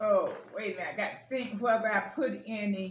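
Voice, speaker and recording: Audible room echo surrounds the voice. The pace is moderate. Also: woman. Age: 60s. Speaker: lifestyle vlogger. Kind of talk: casual home tutorial vlog. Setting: at home at the table. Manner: casual, chatty with filler words. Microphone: camera far from speaker.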